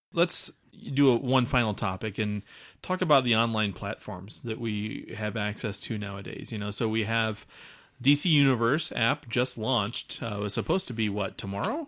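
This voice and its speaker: On a very clean recording with a silent background, a man speaks in an ordinary speaking voice at a moderate pace, with medium pitch and ordinary pitch variation. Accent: American. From Omaha, Nebraska area. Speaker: podcast host. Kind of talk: casual chat.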